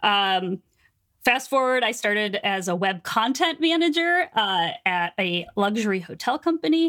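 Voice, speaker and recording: A woman's animated, bright, sharp tone with very wide pitch swings, in a dry, close sound with no echo. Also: very even loudness. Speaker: book editor and business coach. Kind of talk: casual interview chat.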